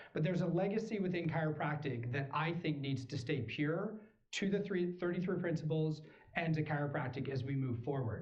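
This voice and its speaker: A man at a fairly quick pace with lively intonation and audible room echo. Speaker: chiropractor. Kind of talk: speech. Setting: stage with audience. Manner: animated.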